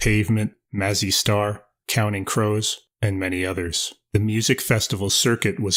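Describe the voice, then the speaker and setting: On a very clean recording with a silent background, a man talks at a moderate pace in an ordinary speaking voice with fairly low pitch. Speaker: amateur video narrator. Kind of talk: music history narration. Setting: home recording on USB mic.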